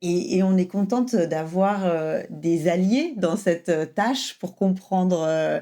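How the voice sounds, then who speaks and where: On a very clean recording with a silent background, a woman speaks at a medium pitch with ordinary pitch variation and a dark, mellow tone. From France. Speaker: French language coach. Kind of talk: casual podcast conversation.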